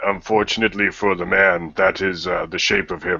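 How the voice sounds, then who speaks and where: A man uses a put-on character voice, very deep and low in pitch. He keeps a moderate pace in a monotone, flat intonation. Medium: actual play.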